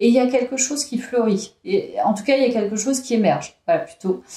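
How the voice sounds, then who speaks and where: This woman's voice is dark and mellow with a somewhat breathy edge, moving at a fairly quick pace with ordinary pitch variation. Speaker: tarot card reader. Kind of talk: tarot reading video. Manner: hesitant, with fillers.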